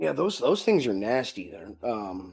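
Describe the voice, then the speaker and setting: The voice is a raspy, put-on character voice with lively intonation at a moderate pace. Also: man. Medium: actual play. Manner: casual, hesitant, friendly.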